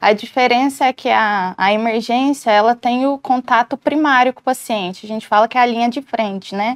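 Against a quiet background, a woman speaks at a high pitch and a moderate pace with ordinary pitch variation and hardly any pauses. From Goiás, Brazil (Itumbiara); Goiás, Brazil. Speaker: emergency physician; guest. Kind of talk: interview. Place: studio. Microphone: lapel.

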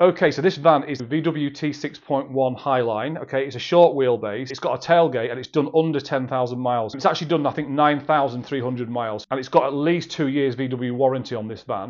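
The voice shows big swings in loudness and ordinary pitch variation, with hardly any pauses. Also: man, moderate pace. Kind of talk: sales update talk to camera. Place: office. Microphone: phone near.

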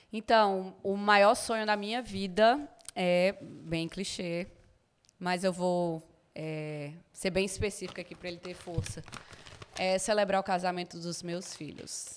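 Over light background noise, a woman with a northeastern Brazilian accent speaks with big swings in loudness. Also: ordinary pitch variation, fairly slow pace. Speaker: podcast guest. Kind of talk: casual interview. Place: studio. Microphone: studio mic.

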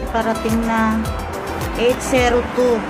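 A woman at a very slow pace against loud background music. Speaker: vlogger. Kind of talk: casual vlog chat. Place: street. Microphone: phone near.

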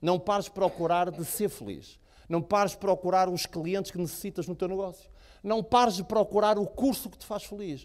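Against a quiet background, the speaker uses an animated tone at a moderate pace with big swings in loudness. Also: man, high pitch for a man. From Portugal. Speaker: motivational speaker. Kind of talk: motivational talk. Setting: stage with audience. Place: hall. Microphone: handheld.

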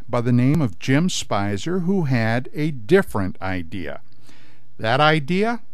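A man speaks at a fairly slow pace with very wide pitch swings. The background is quiet and the sound is dry, with no echo. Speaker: radio host. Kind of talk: radio documentary narration. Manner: deliberate storyteller. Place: studio.

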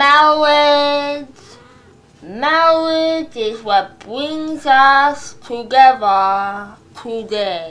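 A put-on character voice, female-sounding and high-pitched, at a very slow pace. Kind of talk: comic wedding sermon. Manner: slow, exaggerated, drawn-out.

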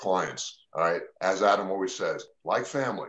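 The pace is moderate. A man is speaking over a quiet background. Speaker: immigration attorney. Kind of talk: live radio talk show. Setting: video call. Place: home room. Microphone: video call.

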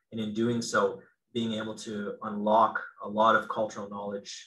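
Moderately paced speech from a man, the background quiet. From northwestern Ontario, Canada. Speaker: clinical psychologist and professor. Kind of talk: Q&A answers; lecture. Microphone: video call.

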